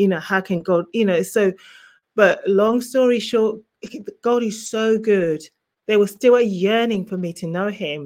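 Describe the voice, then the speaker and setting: A woman speaks with an English accent. Her pace is fairly slow. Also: medium pitch for a woman, ordinary pitch variation. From England, born in Zimbabwe. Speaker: author and minister. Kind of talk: testimony. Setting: remote call from vacation.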